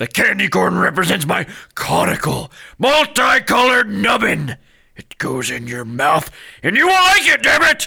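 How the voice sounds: A man does a put-on character voice that is high for a man, with a bright, sharp tone, a slightly husky edge, vocal fry, big pitch swings and a fairly slow pace. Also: few pauses.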